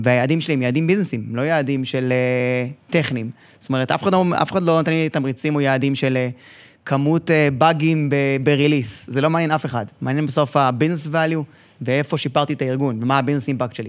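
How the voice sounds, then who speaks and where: In an unremarkable speaking voice, a man with a fairly high pitch talks at a fairly quick pace with fairly even intonation. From Israel. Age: 40s. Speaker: information systems director. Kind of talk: interview.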